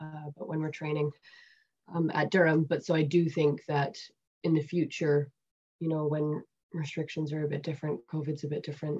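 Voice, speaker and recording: Very deep and low in pitch, a woman speaks in a dark, mellow, somewhat breathy tone. Her intonation is monotone and flat, with long, frequent pauses. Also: moderate pace. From Canada. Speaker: women's rugby player. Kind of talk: interview. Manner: hesitant, many fillers. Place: home room. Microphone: webcam.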